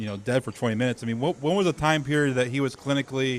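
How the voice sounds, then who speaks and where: This is a man speaking. His pitch is fairly high. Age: 30s. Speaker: podcast co-host. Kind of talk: casual interview chat.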